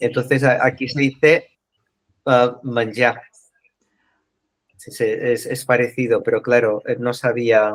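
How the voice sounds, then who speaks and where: A man with a Catalan accent speaks at a very slow pace, his pitch medium. His intonation is monotone and flat, with long, frequent pauses. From Catalonia, Spain. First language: Catalan (speaking Spanish). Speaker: book club member. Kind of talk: casual group discussion. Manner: halting.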